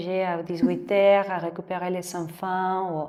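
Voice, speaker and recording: A woman with a Mexican accent, medium pitch and fairly even intonation. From Mexico City. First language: Spanish (speaking French). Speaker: yoga teacher. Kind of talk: interview. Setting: yoga studio, seated on floor mats. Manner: halting.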